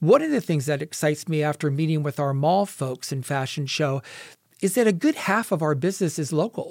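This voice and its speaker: A man with an American accent uses a normal speaking voice, fairly high in pitch with ordinary pitch variation. He talks at a fairly quick pace in a very clean recording with a silent background. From Ohio, US Midwest. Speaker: retail store manager. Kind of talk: interview. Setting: radio studio.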